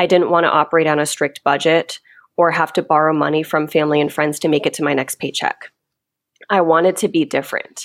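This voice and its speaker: An unremarkable speaking voice with an American accent and fairly even intonation. The recording is very clean, with a silent background. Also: woman. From Kentucky, US. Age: 30s. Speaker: money educator and author. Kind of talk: casual interview.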